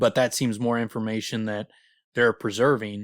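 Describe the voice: The voice is plain reading aloud with fairly even intonation over a quiet background.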